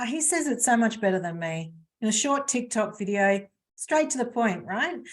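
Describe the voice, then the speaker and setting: Somewhat breathy, a woman speaks at a moderate pace with a fairly high pitch. Her intonation is lively. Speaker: webinar presenter on stress management. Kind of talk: webinar presentation. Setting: live webinar video call.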